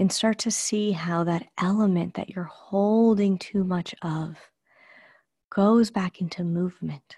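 Her intonation stays fairly even at a medium pitch. The woman's voice is somewhat breathy. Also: fairly slow pace. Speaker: meditation guide. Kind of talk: guided meditation. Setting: live group call. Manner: slow, soothing, calm and unhurried; gentle, dreamy with pauses.

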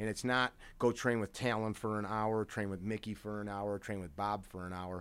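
A man talks at a moderate pace with a fairly low pitch. His intonation is monotone and flat, and the recording is very clean with a silent background. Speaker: self-defense and firearms instructor. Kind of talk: casual chat.

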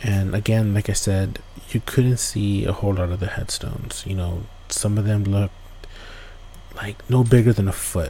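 A man's monotone, flat delivery at a moderate pace over noticeable background noise. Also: fairly low pitch for a man. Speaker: podcast host. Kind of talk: campfire-style ghost story telling, casual and conversational with asides to listeners.

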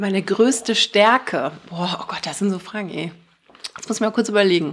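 A woman's unremarkable speaking voice at medium pitch, with ordinary pitch variation. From Germany, Bonn. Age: 30s. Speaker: radio host and fashion label founder. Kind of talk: casual interview. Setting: in-person studio recording.

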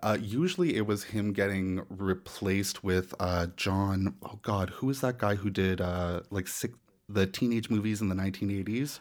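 A man with a Canadian accent speaks in a plain, everyday voice at a fairly low pitch. His pace is fairly slow and his intonation fairly even. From Nova Scotia, Canada. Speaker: podcaster. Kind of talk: casual chat.

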